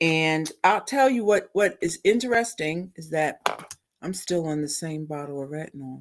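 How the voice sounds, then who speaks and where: A woman with a fairly low pitch speaks in an ordinary speaking voice. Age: 60s. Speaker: beauty product live-stream co-host. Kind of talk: casual live-stream chat. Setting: live stream video.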